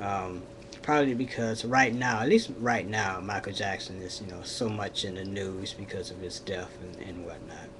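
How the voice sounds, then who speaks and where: A man at a fairly low pitch with ordinary variation, a moderate pace, big swings in loudness, audible room echo and noticeable background noise. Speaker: vlogger. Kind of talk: casual vlog monologue. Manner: hesitant, many fillers.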